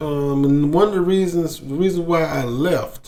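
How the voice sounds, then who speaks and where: A man with an American accent mumbles at a very slow pace. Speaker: expat sharing experiences abroad. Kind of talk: casual monologue. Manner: mumbling; halting, repetitive.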